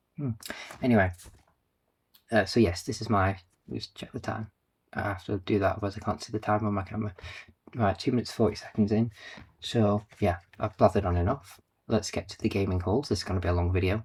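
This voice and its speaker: A man with a fairly low, somewhat breathy voice talks at a very fast pace with long, frequent pauses and fairly even intonation, on a very clean recording with a silent background. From northern England. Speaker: game collector YouTuber. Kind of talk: casual vlog talk to camera. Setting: home, recording on camera.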